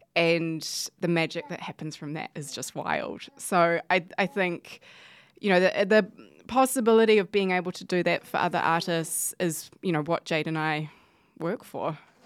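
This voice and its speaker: In a New Zealand accent, a woman with a fairly low pitch speaks at a moderate pace, her pitch varying in an ordinary way and her loudness swinging widely. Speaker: gallery deputy director. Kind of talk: casual chat. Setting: studio. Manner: hesitant, many fillers.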